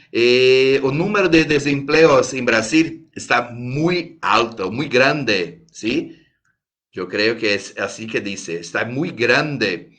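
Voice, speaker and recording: A man with a Brazilian accent at a medium pitch, very slow pace and lively intonation, with audible room echo. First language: Portuguese (speaking Spanish). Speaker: lawyer, conference speaker. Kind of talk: conference talk. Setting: video call. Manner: halting.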